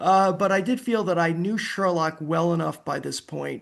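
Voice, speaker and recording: Against a quiet background, a man with an American accent speaks at a high pitch and a moderate pace. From United States. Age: 70s. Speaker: author and historian. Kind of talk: interview. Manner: halting, repeats words.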